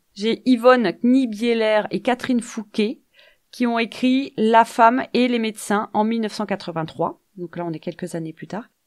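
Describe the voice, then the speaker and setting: In a very clean recording with a silent background, a woman speaks fairly slowly in a plain, everyday voice, fairly high in pitch with ordinary variation. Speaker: podcast co-host. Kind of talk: casual chat.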